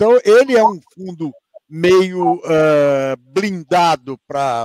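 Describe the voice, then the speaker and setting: Here a man speaks with a high pitch. The sound is dry and close, without echo. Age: 60s. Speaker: fund manager. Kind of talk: panel interview. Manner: halting, many repetitions.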